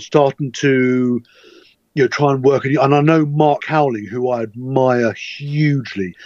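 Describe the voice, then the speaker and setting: A man talks with an unremarkable speaking voice and ordinary pitch variation. The recording sounds dry and close, without echo. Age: 50s. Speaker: angler and fishing writer. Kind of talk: casual chat.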